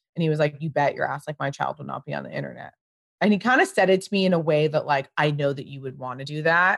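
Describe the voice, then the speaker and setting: The speaker talks at a very fast pace with a Californian accent. Loudness swings widely. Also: woman. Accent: General American, Californian. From US West Coast, Pasadena, California. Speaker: fashion creative director and brand founder. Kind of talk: casual interview chat.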